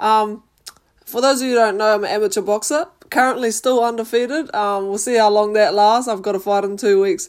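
A woman speaks with a New Zealand accent at a fairly high pitch. Her pace is fairly quick, with ordinary pitch variation. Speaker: podcast host and amateur boxer. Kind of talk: casual monologue.

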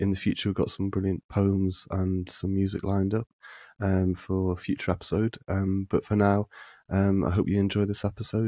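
In a very clean recording with a silent background, the sound is dry and close with no echo. A man speaks in a monotone, flat intonation at a fairly low pitch, his tone dark and mellow. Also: moderate pace, very even loudness. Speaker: podcast host. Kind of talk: casual interview. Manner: halting, filler-heavy.

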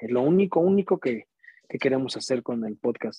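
In a Mexican accent, a man speaks with a dark, mellow tone at a medium pitch and moderate pace, with a dry, close sound and no echo. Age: 30s. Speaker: musician and podcaster. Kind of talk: casual chat.

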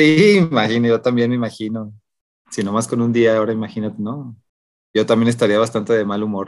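Someone speaks in an ordinary speaking voice at a fairly quick pace, with fairly even intonation. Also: man, medium pitch for a man. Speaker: podcast co-host. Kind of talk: casual chat.

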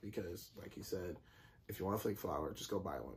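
Man's voice, somewhat breathy, ordinary pitch variation. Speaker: podcast co-host. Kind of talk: casual chat.

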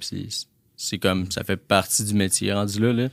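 A man speaks in a fairly low, flat monotone on a very clean recording with a silent background. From Quebec, La Tuque. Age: 20s. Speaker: entrepreneur. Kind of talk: interview.

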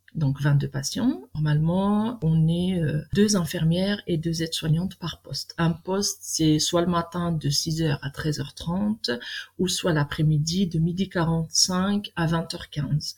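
Speaking at a very slow pace, a woman has a fairly low pitch, a somewhat breathy voice and ordinary pitch variation. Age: 40s. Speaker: nurse. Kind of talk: interview. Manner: halting, many fillers.

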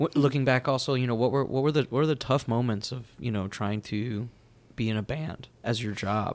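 Talking at a fairly quick pace, this man has a plain, everyday voice, a medium pitch and ordinary pitch variation. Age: 30s. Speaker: podcast host. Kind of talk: casual interview chat.

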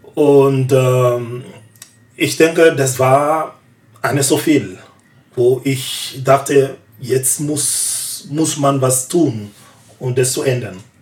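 Amid noticeable background noise, a man at a medium pitch speaks at a very slow pace with fairly even intonation and long, frequent pauses. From Ivory Coast. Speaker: artist. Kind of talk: casual discussion. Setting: studio.

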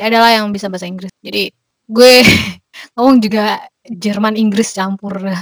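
This is a normal speaking voice with fairly even intonation. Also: woman. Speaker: Indonesian student abroad. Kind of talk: casual interview.

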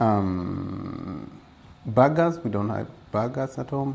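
Very slowly, a man with a fairly low pitch speaks in audible room echo. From Kenya, Gilgil near Nakuru. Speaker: safari tour operator. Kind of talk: interview. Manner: hesitant, many fillers.

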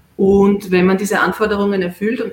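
At a moderate pace, a woman talks in an unremarkable speaking voice with fairly even intonation. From Austria, Vienna. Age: 40s. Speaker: distance-learning graduate, clinical research worker. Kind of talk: interview on a live stream.

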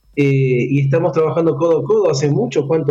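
At a moderate pace, a man speaks in a fairly high pitch with a dark, mellow tone, a somewhat breathy quality, and ordinary pitch variation. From Argentina, Córdoba. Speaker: sports coach and conference speaker. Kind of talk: radio interview.

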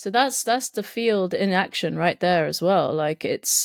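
On a very clean recording with a silent background, a woman with a southern English accent speaks at a moderate pace and a fairly low pitch. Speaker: podcast guest. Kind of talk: casual chat.

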